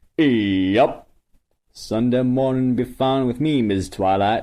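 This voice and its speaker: Drawling at a fairly slow pace, a man uses a put-on character voice at medium pitch. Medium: read story. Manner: slow, drawling.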